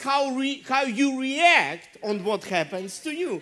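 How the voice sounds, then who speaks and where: The delivery moves at a very slow pace with lively intonation. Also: woman. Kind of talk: sermon. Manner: animated, call-and-response, urging the congregation to say amen and clap.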